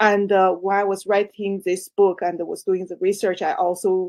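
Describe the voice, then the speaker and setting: At a moderate pace, a woman speaks in a Chinese accent with a medium-pitched voice. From China. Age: 60s. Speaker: author. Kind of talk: interview. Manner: halting.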